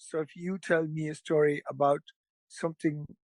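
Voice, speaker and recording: Here a man with an Irish accent speaks in a high voice. The sound is dry and close, with no echo. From Ireland. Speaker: storyteller, musician, actor. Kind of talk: podcast interview answer. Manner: casual, conversational.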